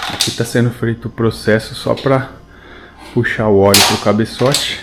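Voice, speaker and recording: At a moderate pace, a man speaks with a fairly low pitch and monotone, flat intonation. Noticeable background noise runs underneath. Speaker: motorcycle travel vlogger. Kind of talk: casual vlog narration. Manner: speaking quietly early morning.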